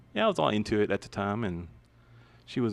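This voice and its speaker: A man speaks softly at a fairly quick pace. His intonation is lively. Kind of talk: casual chat. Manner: mumbling; soft-spoken.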